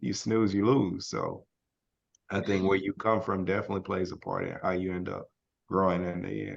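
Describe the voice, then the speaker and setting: With an American accent, a man speaks at a fairly low pitch with fairly even intonation and vocal fry. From Texas, Brookshire near Houston. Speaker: podcast co-host. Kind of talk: casual chat.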